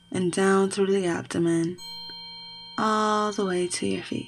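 A soothing, calm tone at a very slow pace, with fairly even intonation over noticeable background noise. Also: woman. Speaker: podcast host and meditation guide. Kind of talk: guided meditation. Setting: studio with background music and chimes. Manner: slow, soothing and calm, with gentle pacing and long pauses; casual, warm and chatty in the intro.

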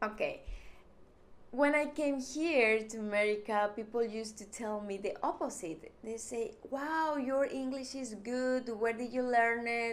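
A woman speaks with a strong Mexican accent at a fairly slow pace and a fairly high pitch, with ordinary pitch variation. Audible room echo surrounds her voice. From Mexico. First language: Spanish. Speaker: YouTuber. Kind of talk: vlog monologue.

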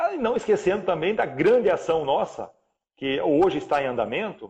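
Here a man speaks with a high pitch and lively intonation. His pace is fairly quick. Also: quiet background. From Paraná, Brazil. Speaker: credit cooperative president. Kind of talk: live interview.

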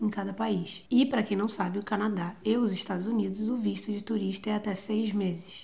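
Vocal fry marks the medium-pitched voice of a woman who speaks at a moderate pace with fairly even intonation. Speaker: travel podcaster. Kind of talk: casual chat.

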